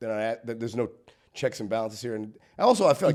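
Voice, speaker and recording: The recording is very clean against a silent background. In it, a man talks at a very fast pace. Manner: stammers, repeats words.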